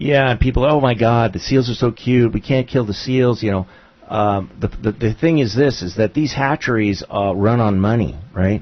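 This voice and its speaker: Using a plain, everyday voice, this man speaks at a medium pitch and a moderate speed, his pitch varying in an ordinary way. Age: 60s. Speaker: local radio talk show host. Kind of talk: casual radio chat.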